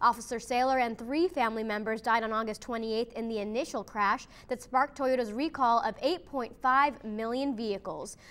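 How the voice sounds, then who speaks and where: In an ordinary speaking voice, the speaker moves at a fairly quick pace with ordinary pitch variation and hardly any pauses. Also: woman, fairly high pitch for a woman, very clean recording, silent background. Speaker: news reporter and anchor. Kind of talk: TV news anchor and field reporter delivery.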